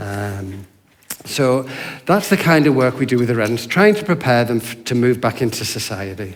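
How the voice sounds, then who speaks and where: With an English accent, a man speaks at medium pitch and a moderate pace. His intonation is lively, and there is noticeable background noise. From Yorkshire, England. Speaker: hostel worker. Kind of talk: church talk.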